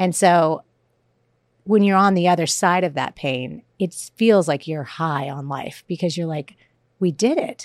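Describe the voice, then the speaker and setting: With an American accent, a woman speaks in an ordinary speaking voice, fairly low in pitch with ordinary pitch variation, at a fairly slow pace on a very clean recording with a silent background. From US South. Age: 40s. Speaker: comedian and author. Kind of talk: casual chat.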